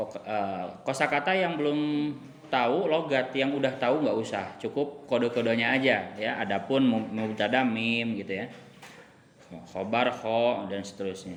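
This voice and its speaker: A man's medium-pitched voice with ordinary pitch variation, plus audible room echo and noticeable background noise. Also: moderate pace. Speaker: religious teacher. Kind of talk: kitab study reading with translation.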